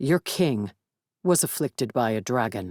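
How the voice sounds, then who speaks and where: A put-on character voice growls at a low-to-middle pitch and a moderate pace. The recording is very clean with a silent background. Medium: read story. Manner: formal, stiff, no contractions.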